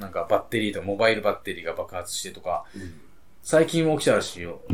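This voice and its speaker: A man talks at a very fast pace. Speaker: podcast co-host. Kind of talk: casual chat.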